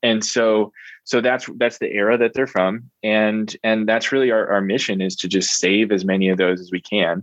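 A man with a plain, everyday voice, fairly low pitch, fairly even intonation, and an American accent. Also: moderate pace. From US Northeast, Reading, Pennsylvania. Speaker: entrepreneur. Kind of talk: interview. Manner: frequent filler words (um).

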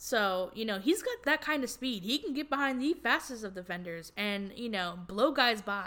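Bright and sharp in tone, a woman with a fairly high pitch speaks animatedly at a moderate pace, with lively intonation and hardly any pauses. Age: 20s. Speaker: sports podcast host. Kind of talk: solo sports commentary podcast.

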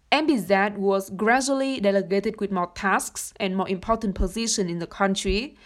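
The speaker has a Vietnamese accent and ordinary pitch variation. The pace is moderate. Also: woman. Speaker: university student and research intern. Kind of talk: podcast interview.

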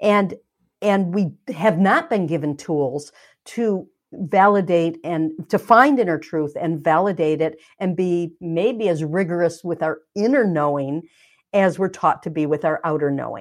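A woman talks at a fairly slow pace in a fairly low voice with ordinary pitch variation, a normal speaking voice. The background is quiet. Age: 60s. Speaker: energy healer and author. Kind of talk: interview.

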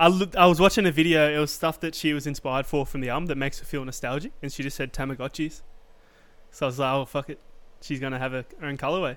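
On a very clean recording with a silent background, a man with an Australian accent speaks very fast at a fairly high pitch, his intonation fairly even. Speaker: podcast co-host. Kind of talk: casual chat. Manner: laid-back, swears casually.

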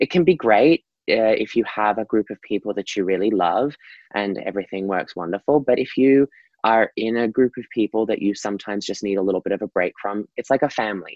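Speaking at a fairly quick pace, a man with an Australian accent has a fairly low pitch and ordinary pitch variation. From Australia, Gold Coast. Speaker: professional dancer and performer. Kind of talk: interview.

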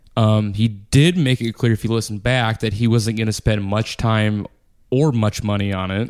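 An unremarkable speaking voice from a man: fairly low pitch, fairly even intonation, moderate pace, on a very clean recording with a silent background. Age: 30s. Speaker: podcast co-host. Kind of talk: casual chat.

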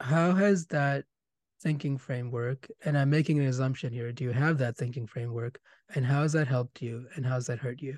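Against a quiet background, a man talks at a fairly quick pace in a medium, somewhat breathy voice with ordinary pitch variation. The sound is dry and close, with no echo. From India. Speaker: podcast host, medical background. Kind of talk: interview.

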